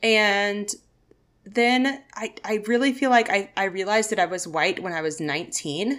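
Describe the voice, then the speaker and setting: With an American accent, a woman uses lively intonation and a bright, sharp tone at medium pitch, recorded very cleanly over a silent background. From Arkansas, US South. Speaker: podcast co-host. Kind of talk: casual chat.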